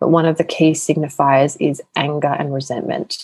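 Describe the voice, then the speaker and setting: Speaking with an Australian accent, a woman keeps a moderate pace. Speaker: sex and empowerment coach. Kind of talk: casual interview chat.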